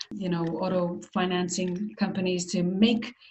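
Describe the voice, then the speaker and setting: Here a woman talks with an American accent at a medium pitch. Her pace is moderate. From Israel. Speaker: marketing executive. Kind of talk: interview.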